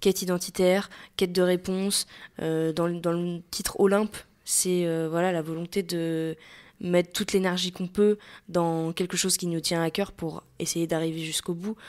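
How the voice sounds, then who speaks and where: Her intonation is monotone and flat. The woman's pitch is fairly low. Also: moderate pace, very clean recording, silent background. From western France, Maine-et-Loire. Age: 20s. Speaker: singer. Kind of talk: interview. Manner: hesitant, many fillers.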